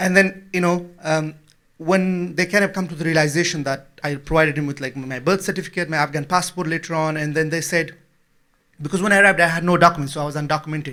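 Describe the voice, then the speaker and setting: The delivery is very fast, with a bright, sharp tone. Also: man, fairly high pitch for a man, fairly even intonation. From Afghanistan. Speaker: refugee activist and author. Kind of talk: public talk.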